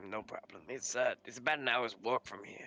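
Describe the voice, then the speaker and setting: A man uses a raspy, put-on character voice at medium pitch, talking at a fairly quick pace. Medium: actual play. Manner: hesitant, polite, full of "uh".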